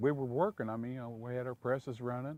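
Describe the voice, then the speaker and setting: On a very clean recording with a silent background and a dry, close sound with no echo, a man with a medium pitch uses a plain, everyday voice and fairly even intonation. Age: 60s. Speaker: factory worker. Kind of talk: interview testimony.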